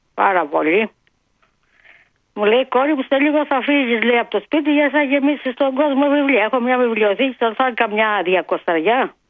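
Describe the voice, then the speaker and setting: Lively intonation marks this woman's fairly high voice as she speaks at a moderate pace. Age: 60s. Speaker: caller. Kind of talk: casual chat. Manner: animated.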